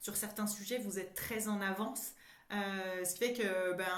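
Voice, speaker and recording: Noticeable background noise and audible room echo surround a voice moving at a moderate pace. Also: woman. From France. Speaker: psychologist and coach. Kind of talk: casual interview. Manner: halting, many repetitions.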